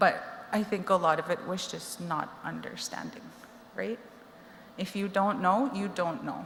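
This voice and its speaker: Against noticeable background noise, a woman with a Canadian accent talks at a medium pitch and a fairly slow pace, leaving long, frequent pauses. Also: ordinary pitch variation. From Cree reserve, Alberta (Treaty Six territory). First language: Cree. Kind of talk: personal testimony. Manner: conversational, many fillers.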